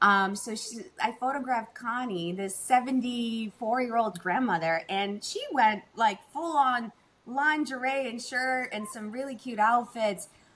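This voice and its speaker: With an unremarkable speaking voice, a woman talks at a fairly slow pace and a fairly high pitch, using ordinary pitch variation, hardly any pauses and big swings in loudness. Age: 40s. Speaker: boudoir photographer. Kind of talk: casual chat.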